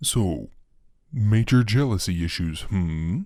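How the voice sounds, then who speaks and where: A put-on character voice comes at a fairly slow pace. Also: man, fairly low pitch for a man. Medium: read story. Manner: sly, smooth, mocking.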